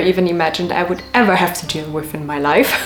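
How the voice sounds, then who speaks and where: Noticeable background noise is present. A woman speaks with fairly even intonation. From city in a foreign country, not Sweden. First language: not Swedish, not necessarily English. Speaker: vlogger. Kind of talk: casual vlog talk to camera.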